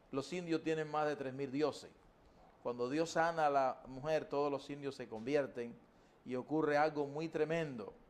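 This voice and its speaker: At a moderate pace, a man talks with fairly even intonation. His pitch sits fairly high. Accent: Cuban. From Cuba. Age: 60s. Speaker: evangelist preacher. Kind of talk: testimony. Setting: TV studio interview.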